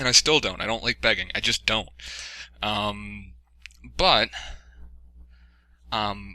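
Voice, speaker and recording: A man talks very slowly, with long, frequent pauses. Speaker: YouTuber giving channel update. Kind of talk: casual monologue. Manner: halting, many fillers.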